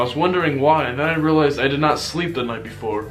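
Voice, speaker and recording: Music plays in the background as a man talks at a very fast pace with ordinary pitch variation. The room echo is audible. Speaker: YouTuber. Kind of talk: vlog life update. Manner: casual.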